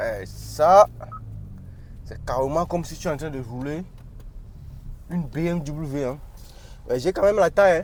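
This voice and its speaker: Amid noticeable background noise, a man speaks at a fairly slow pace with ordinary pitch variation, big swings in loudness, and long, frequent pauses. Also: fairly high pitch for a man. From Africa. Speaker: car reviewer. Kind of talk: casual car review while driving. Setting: in a car. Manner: animated.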